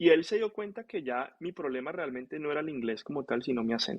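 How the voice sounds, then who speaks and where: Very fast delivery with lively intonation. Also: man. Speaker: physician (nephrologist). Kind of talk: casual interview storytelling.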